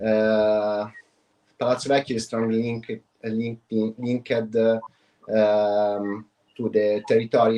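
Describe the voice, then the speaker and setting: In an Italian accent, the speaker talks at a fairly slow pace with a dark, mellow tone. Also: man. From Italy (Tuscany). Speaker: wine producer, export manager. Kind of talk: business presentation. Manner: halting, many fillers.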